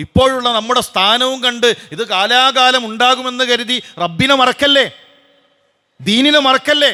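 A man uses a raised, projected voice at an extremely high pitch, with ordinary pitch variation. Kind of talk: Friday sermon.

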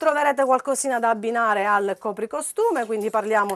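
A woman with a fairly high pitch talks in an animated, upbeat tone with ordinary pitch variation. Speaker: shop promoter. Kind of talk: sales pitch; street-seller style TV promo, reeling off prices and repeating discounts. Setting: shop showroom, on-camera TV promo. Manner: animated, insistent, upbeat salesman delivery. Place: shop.

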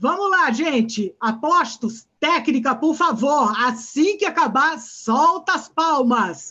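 A woman projects her high voice in a bright, sharp tone with lively intonation, very even loudness, and a very slow pace. She leaves hardly any pauses, and the background is quiet. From Brazil. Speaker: conference session moderator. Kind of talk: event moderation. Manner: animated. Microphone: webcam.

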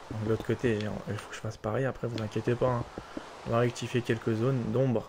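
Over noticeable background noise, a man rattles along at a very fast pace in a medium pitch with monotone, flat intonation. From Polish-French. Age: 20s. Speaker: gaming YouTuber. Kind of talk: casual gameplay commentary.

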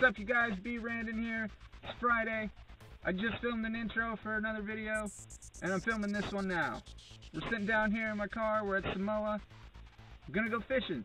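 Faint music plays in the background as a man speaks fairly quickly in a raised, projected voice, monotone and flat, the sound dry with no echo. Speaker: fishing vlogger. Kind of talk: casual vlog chat. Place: car. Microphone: phone near.

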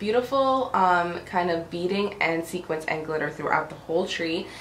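Over light background noise and audible room echo, a woman talks at a fairly quick pace with very wide pitch swings. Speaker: home decor vlogger. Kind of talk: casual talk to camera, haul video. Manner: quiet, low-pitched. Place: home room. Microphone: camera far.

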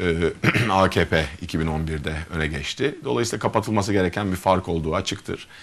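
The man talks at a fairly slow pace, and his pitch variation is ordinary. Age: 40s. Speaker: gynecologist and mayoral candidate; candidate. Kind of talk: interview. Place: studio. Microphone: lapel.

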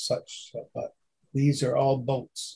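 A man with a Canadian accent, somewhat breathy, dark and mellow in tone, fairly high in pitch, at a fairly slow pace. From Montreal, Quebec. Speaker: stamp collector and postal historian. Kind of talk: presentation. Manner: halting, many fillers.

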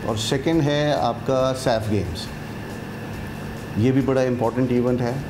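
Over clear background noise, a man speaks at a fairly slow pace with a medium pitch and fairly even intonation.

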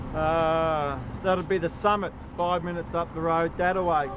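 Over noticeable background noise, a man with an Australian accent speaks at a high pitch in a monotone, flat intonation, the sound dry with no echo. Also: moderate pace. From South Australia. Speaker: actor. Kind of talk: short film scenes. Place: street.

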